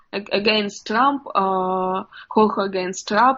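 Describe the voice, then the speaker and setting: Speaking at a very slow pace, a woman has a fairly high pitch and a Russian accent. Her intonation stays fairly even. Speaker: journalist. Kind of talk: interview. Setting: video call. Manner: halting.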